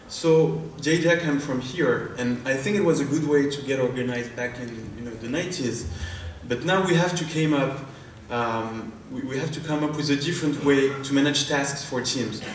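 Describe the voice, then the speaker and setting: With a strong French accent, a man talks at a moderate pace in a fairly high pitch with ordinary pitch variation. Noticeable background noise and audible room echo are present. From France. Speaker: startup founder and CEO. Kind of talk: product demo pitch.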